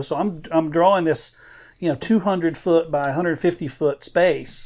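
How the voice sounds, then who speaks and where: In a normal speaking voice, a man talks at a moderate pace with fairly high pitch and fairly even intonation. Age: 50s. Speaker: illustrator. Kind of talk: casual chat.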